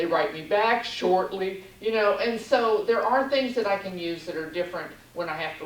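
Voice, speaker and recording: A woman speaks in an American accent. The recording has noticeable background noise and audible room echo. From Texas. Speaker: encephalitis survivor, conference attendee. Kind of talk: self-introduction at support group meet and greet. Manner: halting, searching for words.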